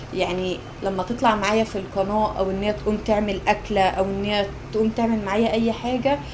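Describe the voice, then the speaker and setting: A woman with an Egyptian accent talks at a fairly quick pace in a medium pitch, with noticeable background noise and audible room echo. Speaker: cooking vlogger. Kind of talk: casual cooking vlog. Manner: animated.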